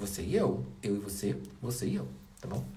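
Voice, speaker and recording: A man speaks softly. The room echo is audible, and there is noticeable background noise. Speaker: wall painting DIY youtuber. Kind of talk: tutorial. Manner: animated; speaking softly briefly.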